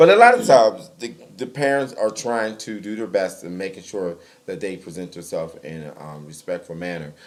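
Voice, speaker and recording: A man speaks in a fairly low voice at a fairly quick pace. His intonation is lively, with big swings in loudness. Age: middle-aged. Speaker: talk show co-host. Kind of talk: casual chat.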